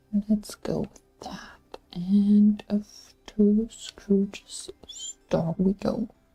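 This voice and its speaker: The pace is very slow. The speaker has a non-native accent. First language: not English. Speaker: gaming streamer. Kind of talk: gameplay commentary. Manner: casual.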